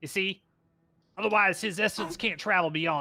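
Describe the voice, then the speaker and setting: Over faint music in the background, a man delivers a put-on character voice at a fairly quick pace. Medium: actual play. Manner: snippy, impatient, put-upon.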